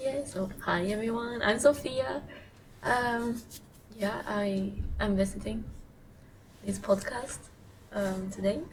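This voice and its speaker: A woman with a Swiss accent speaks at a very slow pace with lively intonation and long, frequent pauses, heard through noticeable background noise and audible room echo. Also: medium pitch for a woman. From Switzerland. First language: German. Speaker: podcast guest. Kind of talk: casual chat.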